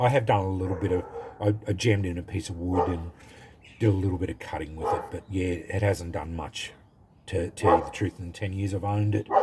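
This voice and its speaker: Noticeable background noise surrounds a man speaking with an Australian accent. His voice is fairly low, with fairly even intonation. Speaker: knife collector YouTuber. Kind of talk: casual product review. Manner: halting, many fillers.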